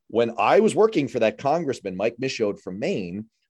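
A man speaks with an American accent, his pitch swinging very widely. The background is quiet. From New York City (Manhattan). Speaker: radio host. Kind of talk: interview. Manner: halting, repeats words.

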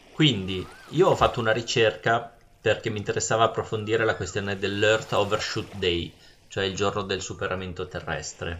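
With a plain, everyday voice, a man talks at a moderate pace, his pitch fairly low and his intonation fairly even. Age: 40s. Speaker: podcast host. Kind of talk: casual chat.

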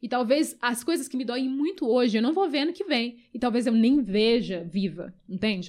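A woman's high voice with lively intonation. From Brazil, raised from age five, born in Angola. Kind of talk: casual interview conversation.

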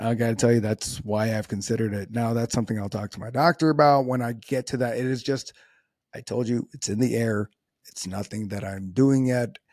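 A man's plain, everyday voice, a fairly quick pace, fairly even intonation, and a dry, close sound with no echo. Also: medium pitch for a man. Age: 30s. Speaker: podcast host and natural physique competitor. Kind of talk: solo podcast monologue. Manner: casual, conversational with filler words.

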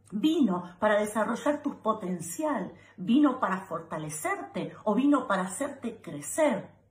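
Heard over noticeable background noise, a woman with a fairly high pitch and very wide pitch swings speaks at a fairly slow pace. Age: 40s. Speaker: advice video host. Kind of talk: direct-to-camera advice monologue.

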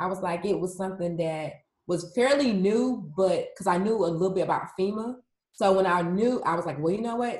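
A somewhat breathy voice with ordinary pitch variation is heard over audible room echo. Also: woman, medium pitch for a woman, fairly quick pace. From US South, Atlanta, Georgia. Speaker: emergency management specialist. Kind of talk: interview. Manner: casual.

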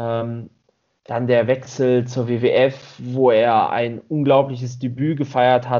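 At a very slow pace, a man speaks in a monotone, flat intonation. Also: medium pitch for a man. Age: 30s. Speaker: podcast co-host. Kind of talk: casual chat.

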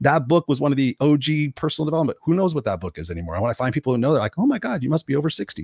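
A man's fairly high, somewhat breathy voice, very fast with hardly any pauses and very wide pitch swings, in a dry, close sound with no echo. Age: 50s. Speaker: motivational coach and author. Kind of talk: interview. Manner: animated.

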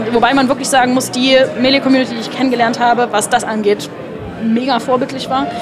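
Over crowd noise and audible room echo, a woman with a high pitch talks at a very fast pace in a monotone, flat delivery. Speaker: event guest, partner of a caster. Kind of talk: casual interview. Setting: event venue lobby.

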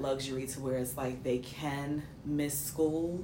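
With an American accent, a woman talks in a very deep, low pitch and a monotone, flat intonation, with noticeable background noise and audible room echo. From New York City. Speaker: podcast co-host. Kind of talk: casual chat.

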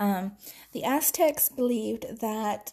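A woman speaks at a very slow pace in a fairly high pitch. Her voice is somewhat breathy, with a dark, mellow tone. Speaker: podcast host. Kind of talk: solo history talk read from notes. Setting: home recording. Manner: casual, hesitant with many fillers and laughs.

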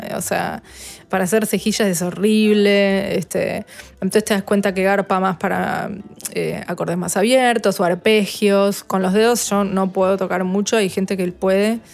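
Against music in the background, the speaker talks fairly slowly with monotone, flat intonation. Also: woman, medium pitch for a woman. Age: 30s. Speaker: guitarist and producer. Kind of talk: interview.

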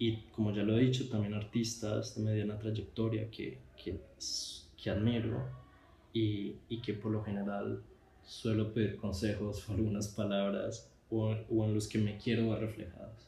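With audible room echo, a man talks fairly slowly in a fairly low, dark, mellow voice touched by vocal fry. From Colombia. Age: 20s. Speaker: visual artist, podcast host. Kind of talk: personal podcast monologue. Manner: halting, with fillers and repetitions.

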